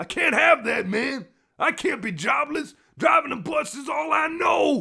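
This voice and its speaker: Using a put-on character voice, a man projects a raised, raspy voice at an extremely high pitch. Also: moderate pace. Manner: laid-back.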